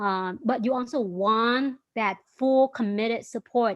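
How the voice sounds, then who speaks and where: Here a woman is speaking. She has a Vietnamese accent. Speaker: startup founder and CEO. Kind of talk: interview.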